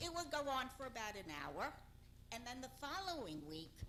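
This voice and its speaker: A woman's voice with audible room echo. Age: old. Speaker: public commenter at council meeting. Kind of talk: public comment at council meeting.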